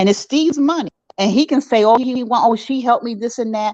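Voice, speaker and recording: This is a woman's voice. It sounds close and dry, without any echo. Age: 60s. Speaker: caller. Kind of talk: live stream chat with host.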